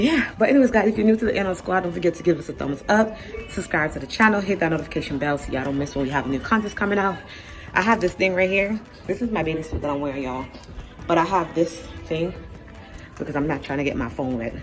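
A woman talks at a very fast pace in a fairly low voice. Clear music plays in the background. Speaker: travel vlogger. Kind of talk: casual vlog chat. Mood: nervous and excited. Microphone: phone near.

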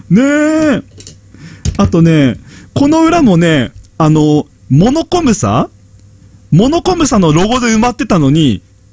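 A man's voice with very wide pitch swings over a quiet background. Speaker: game streamer. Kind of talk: casual game commentary chat.

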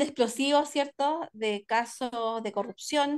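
A woman with an unremarkable speaking voice talks at a fairly slow pace with ordinary pitch variation against a quiet background. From Chile, Santiago (Maipú). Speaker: panelist. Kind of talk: panel discussion. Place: home room. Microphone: video call.

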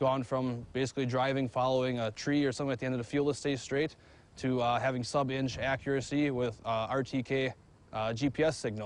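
A man with a Wisconsin accent speaks at a moderate pace in a monotone, flat intonation with very even loudness and a dry sound with no echo. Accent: Upper Midwest (Wisconsin). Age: 20s. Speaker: farmer. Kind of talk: interview. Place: farm machine. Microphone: lapel.

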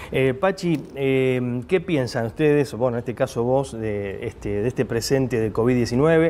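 With a normal speaking voice, a man talks at a medium pitch and a fairly slow pace, his intonation lively. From Argentina. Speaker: TV interviewer. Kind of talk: TV interview. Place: bar. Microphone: lapel.

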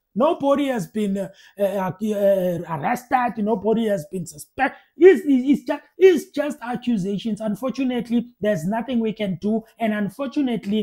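A man's lively intonation moves at a moderate pace over a quiet background. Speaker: political commentator. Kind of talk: reaction commentary. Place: home room. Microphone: earbuds.

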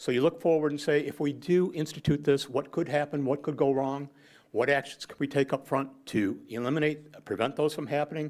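With fairly even intonation, a man talks at a fairly quick pace in a fairly high pitch. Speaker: public commenter at city council meeting. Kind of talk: public comment. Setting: city council meeting. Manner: fast.

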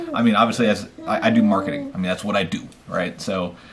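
A man with a fairly low voice talks at a fairly quick pace. His pitch varies in an ordinary way over noticeable background noise. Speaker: channel host. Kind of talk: casual vlog chat. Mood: relaxed, thoughtful. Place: home room. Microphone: camera far.

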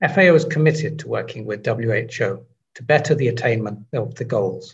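Somewhat breathy, a man speaks at a moderate pace. His pitch shows ordinary variation. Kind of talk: prepared statement. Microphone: webcam.

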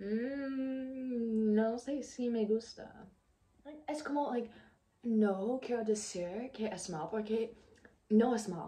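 A woman's fairly high voice with an American accent, ordinary pitch variation, a very slow pace and long, frequent pauses. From United States. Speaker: exchange student. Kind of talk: casual reaction vlog to camera. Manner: hesitant, mixing English fillers. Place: home room.

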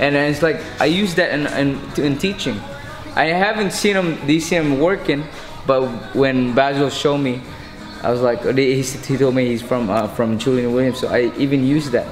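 A man at a moderate pace with ordinary pitch variation, audible room echo, and clear music in the background. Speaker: boxing coach. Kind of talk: interview answer. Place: gym.

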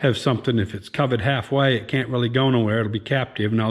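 A man's fairly quick speech shows ordinary pitch variation, set against a quiet background. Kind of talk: tutorial. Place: garage. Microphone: phone near.

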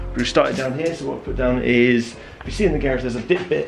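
With clear music in the background, a man talks at a fairly quick pace. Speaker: DIY vlogger. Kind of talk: casual vlog chat. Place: garage. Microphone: phone near.

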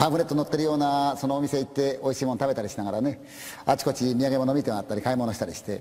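Speaking at a very fast pace, a man with a fairly high pitch has a dark, mellow tone. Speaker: ghost story teller. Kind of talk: spoken ghost story.

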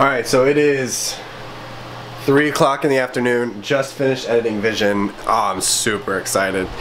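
At a moderate pace, a man speaks with ordinary pitch variation over light background noise. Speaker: vlogger. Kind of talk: casual vlog chat. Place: kitchen. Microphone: phone near.

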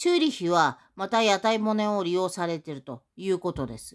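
With a quiet background, the woman talks at a moderate pace. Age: 60s. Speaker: YouTuber. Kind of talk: monologue vlog. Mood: aggrieved, accusatory. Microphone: phone near.

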